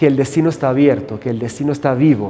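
A man with a Portuguese accent at a fairly quick pace, ordinary pitch variation, and audible room echo. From Brazil, São Paulo. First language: Portuguese (speaking Spanish). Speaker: hotel general manager. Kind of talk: interview. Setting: on location at a hotel.

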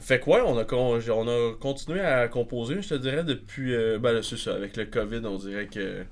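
Using a normal speaking voice, a man talks fairly slowly at a medium pitch with ordinary pitch variation. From Quebec, northern Laurentides village. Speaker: progressive metal musician. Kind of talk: casual chat.

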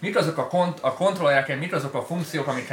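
A man talks with ordinary pitch variation while noticeable background noise carries on behind him. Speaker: live stream host. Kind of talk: casual live stream chat about DJ gear. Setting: studio.

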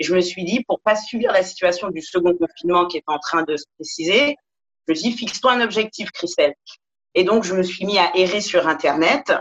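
With an unremarkable speaking voice, a woman at medium pitch talks at a moderate pace with lively intonation, the sound dry and close with no echo. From Paris. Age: 40s. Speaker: yoga teacher. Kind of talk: interview.

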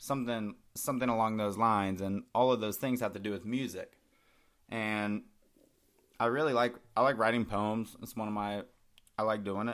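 At a moderate pace, a man speaks in a fairly low pitch with fairly even intonation and long, frequent pauses. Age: 20s. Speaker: solo podcast host. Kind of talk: casual monologue. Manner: rambling with many fillers and laughs.

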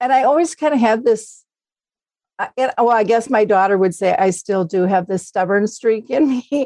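Her intonation is lively as this woman talks with an Upper Midwest accent. Her loudness stays very even. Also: fairly high pitch for a woman, moderate pace. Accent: Upper Midwest American. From Minnesota. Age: 60s. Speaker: Alzheimer's advocate. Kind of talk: casual interview.

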